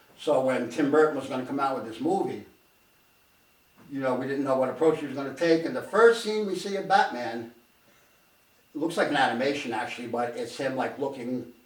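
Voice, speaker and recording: Over noticeable background noise and audible room echo, a man with a fairly high pitch and ordinary pitch variation talks at a fairly quick pace with long, frequent pauses. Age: 60s. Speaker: show co-host. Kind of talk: casual chat. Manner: halting.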